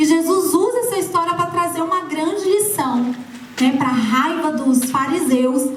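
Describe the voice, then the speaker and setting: A woman talks at an extremely high pitch with lively intonation. Audible room echo is in the recording. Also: fairly slow pace. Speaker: preacher. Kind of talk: sermon.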